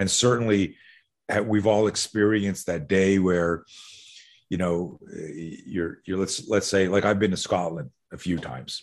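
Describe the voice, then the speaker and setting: Fairly slow delivery in an American accent with ordinary pitch variation, over a quiet background. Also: man, very deep, low pitch for a man. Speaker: combatives instructor. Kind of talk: casual interview conversation.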